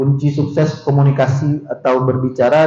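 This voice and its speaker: Over noticeable background noise and audible room echo, a man with a medium pitch speaks at a moderate pace. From West Sumatra, Minangkabau (Pariaman). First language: Minangkabau (speaking Indonesian). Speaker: university vice-rector, lecturer. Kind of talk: seminar lecture. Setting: seminar hall with audience. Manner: conversational, interactive with audience.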